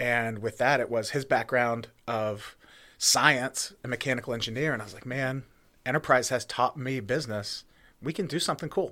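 A man's medium-pitched voice in an American accent, a normal speaking voice at a moderate pace, on a very clean recording with a silent background. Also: ordinary pitch variation. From central Pennsylvania (Jersey Shore, near Williamsport). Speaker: brewery and distillery owner. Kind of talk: casual interview.

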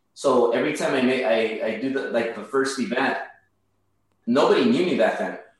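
Here a man speaks at a medium pitch with lively intonation and a fairly quick pace. He pauses long and often, and room echo is audible. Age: 30s. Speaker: mortgage broker and real estate investor. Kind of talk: interview. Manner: halting, many repetitions and fillers.

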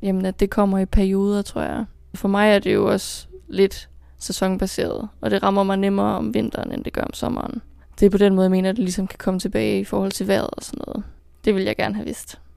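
In a very clean recording with a silent background, a woman talks at a very fast pace. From Denmark, Kolding. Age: 20s. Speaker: student. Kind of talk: interview.

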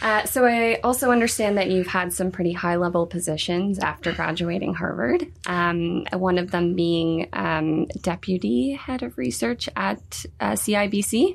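A woman speaks at a fairly slow pace with hardly any pauses and lively intonation. Her voice is fairly low, with noticeable background noise behind it. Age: 20s. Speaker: interviewer for a stock exchange. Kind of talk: interview. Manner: hesitant.

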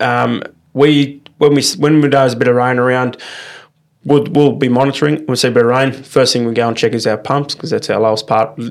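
Moving at a fairly quick pace, a man with an Australian accent speaks at a medium pitch with fairly even intonation. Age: 20s. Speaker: turf farmer. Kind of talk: casual interview. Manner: halting, many fillers.

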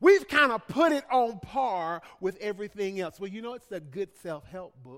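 A high-pitched man with a Southern US accent, lively intonation and a moderate pace, hardly any pauses, and big swings in loudness. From US South, Birmingham, Alabama. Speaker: pastor. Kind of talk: sermon. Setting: church. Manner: halting.

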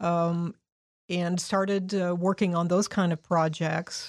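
Speaking at a fairly slow pace in a Midwestern American accent, the voice stays monotone and flat, with a dry, close sound, no echo, and a very clean recording over a silent background. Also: woman. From Indianapolis, Indiana. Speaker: downtown program manager. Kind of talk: interview.

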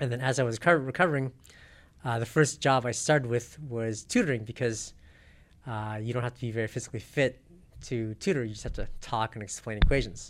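A man with an American accent and an ordinary speaking voice talks at a fairly quick pace and medium pitch, with ordinary pitch variation, on a very clean recording with a silent background. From South Pasadena, California. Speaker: math tutor and self-defense instructor. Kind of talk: interview.

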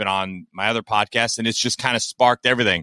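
Speaking fairly quickly with an American accent, a man has a bright, sharp tone on a very clean recording with a silent background and a dry, close sound with no echo. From Kentucky, US. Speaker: podcast host and football fan. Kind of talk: casual monologue. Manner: animated, with many hesitations.

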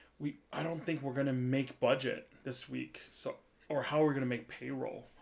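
In an American accent, a man uses a plain, everyday voice at a medium pitch with fairly even intonation. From US Midwest, central Wisconsin. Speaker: chef. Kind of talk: casual chat. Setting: video call.

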